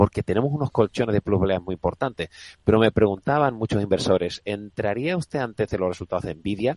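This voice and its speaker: Talking at a very fast pace, a man uses a fairly low pitch with ordinary pitch variation. The sound is dry and close, with no echo. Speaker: fund manager. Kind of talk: radio interview.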